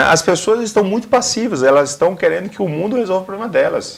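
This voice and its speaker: A man with a northeastern Brazilian accent, very wide pitch swings and a fairly quick pace. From Northeast Brazil. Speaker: career consultant and motivational speaker. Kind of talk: TV interview.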